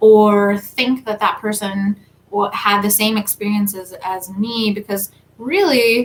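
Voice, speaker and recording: A somewhat breathy woman's voice. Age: 30s. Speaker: tarot reader and spiritual content creator. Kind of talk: live stream talk. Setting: livestream. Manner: casual.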